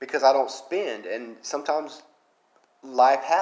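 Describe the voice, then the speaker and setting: Man with a strong Southern accent. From Alabama, US South. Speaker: mobile game YouTuber. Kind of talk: casual commentary vlog.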